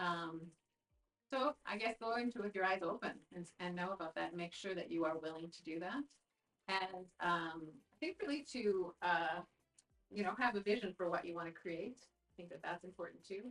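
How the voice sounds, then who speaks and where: A woman with a Canadian accent talks at a moderate pace and medium pitch, with ordinary pitch variation and big swings in loudness. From Canada, northern Alberta (Peace Country). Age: 60s. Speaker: provincial politician. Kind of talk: interview. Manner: halting, many fillers and restarts.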